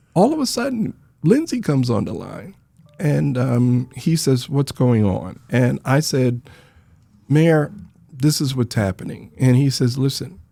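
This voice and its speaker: A man with an American accent speaks at a fairly slow pace, leaving long, frequent pauses. Music plays in the background. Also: medium pitch for a man, lively intonation. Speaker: Vietnam veteran, nonprofit founder. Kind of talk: interview storytelling. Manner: soft-spoken.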